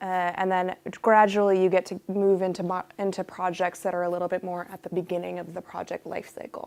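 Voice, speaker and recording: Speaking at a fairly quick pace with an American accent, a woman uses a medium pitch and monotone, flat intonation, while her loudness swings widely. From United States. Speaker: UX researcher. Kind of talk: workshop talk. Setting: room with live audience. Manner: casual.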